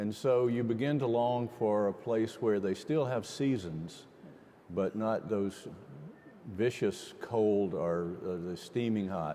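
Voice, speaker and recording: A man's dark, mellow tone, fairly low in pitch, at a very slow pace. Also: ordinary pitch variation. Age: 60s. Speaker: mayor. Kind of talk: panel discussion.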